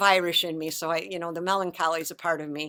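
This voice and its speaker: A woman talks at a very fast pace. Her pitch is fairly low. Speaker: composer and singer, religious sister. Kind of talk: interview.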